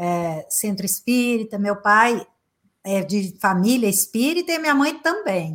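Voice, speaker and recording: Somewhat breathy, with lively intonation and a very slow pace, this voice comes through in a very clean recording with a silent background. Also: woman. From Brazil, Minas Gerais (Uberaba). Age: 50s. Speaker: psychotherapist and motivational speaker. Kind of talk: interview conversation.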